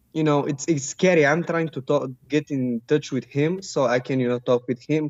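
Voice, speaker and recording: With a Bulgarian accent, this man speaks at a fairly high pitch and keeps a fairly even intonation. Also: moderate pace. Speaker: caller. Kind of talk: call-in discussion. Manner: halting.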